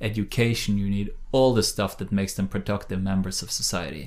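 With a Norwegian accent, a man talks at a moderate pace in a fairly low pitch, his intonation fairly even. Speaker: think tank director, former politician. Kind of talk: interview. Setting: in person, on location. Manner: halting, many fillers.

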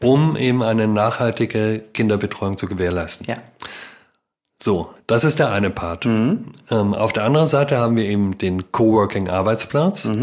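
A man with an ordinary speaking voice, fairly low in pitch, at a moderate pace with ordinary pitch variation, in a very clean recording with a silent background. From Baden-Württemberg, Germany. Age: 40s. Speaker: daycare founder and business consultant. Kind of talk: casual interview.

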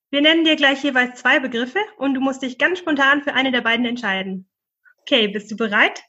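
Ordinary pitch variation marks this speech, which runs at a fairly quick pace. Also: woman, high pitch for a woman. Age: 30s. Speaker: podcast host and doctoral researcher. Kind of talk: podcast hosting.

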